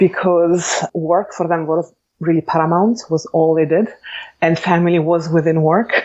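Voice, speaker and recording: Speaking in an Italian accent, a woman with a fairly low pitch keeps a moderate pace, very even loudness and monotone, flat intonation. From Italy, Bologna. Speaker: architect and educator. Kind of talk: interview. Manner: measured, with frequent hesitations.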